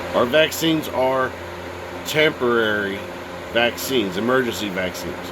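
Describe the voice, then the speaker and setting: A man at medium pitch, with ordinary pitch variation, is heard through audible room echo and noticeable background noise. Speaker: video blogger. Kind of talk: casual monologue.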